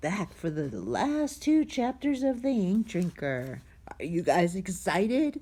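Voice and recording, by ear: A natural voice reading text aloud.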